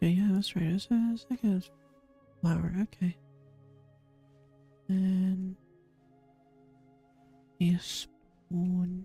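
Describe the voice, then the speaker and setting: The delivery is very slow, with long pauses that come often. Music plays behind it. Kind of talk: casual gameplay commentary, let's play. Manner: whispered, soft-spoken.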